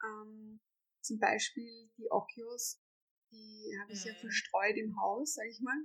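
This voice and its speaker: This is a normal speaking voice with fairly even intonation, delivered at a fairly slow pace. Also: woman, fairly high pitch for a woman. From Austria, Vienna. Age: 30s. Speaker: homeowner renovating an old house. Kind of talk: interview.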